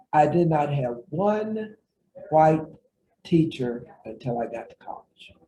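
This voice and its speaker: With an American accent, the voice is dark, mellow and somewhat breathy, with lively intonation and big swings in loudness. It moves at a very slow pace with long, frequent pauses. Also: man, fairly high pitch for a man. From southwest Virginia, US. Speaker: retired professor and author. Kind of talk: interview.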